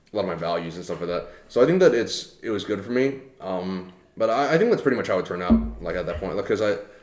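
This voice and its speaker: A man talks at a very fast pace in an American accent. There is audible room echo. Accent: sounds American. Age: 20s. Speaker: podcast co-host. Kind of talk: casual chat. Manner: halting, many fillers.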